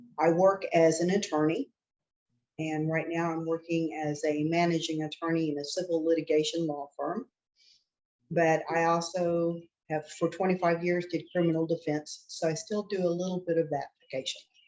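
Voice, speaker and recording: In an American accent, a woman with a fairly low pitch speaks at a moderate pace in a monotone, flat intonation. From Oklahoma, US. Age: 60s. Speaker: attorney, clinical trial patient. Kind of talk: interview.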